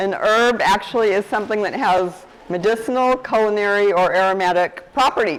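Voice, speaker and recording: A woman at a medium pitch, moderate pace and ordinary pitch variation, with hardly any pauses and noticeable background noise. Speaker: guest speaker on herbs. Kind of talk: talk to a group. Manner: quiet; casual.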